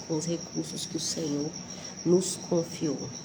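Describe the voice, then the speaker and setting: A soft-spoken woman amid audible room echo and noticeable background noise. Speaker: Bible devotional teacher. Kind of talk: devotional Bible talk. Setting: at a relative's house before dawn.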